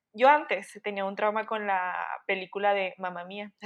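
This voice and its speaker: Delivered at a moderate pace, a normal speaking voice holds fairly even intonation. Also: woman. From Chihuahua, Mexico. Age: 20s. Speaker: communications student. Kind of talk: casual chat.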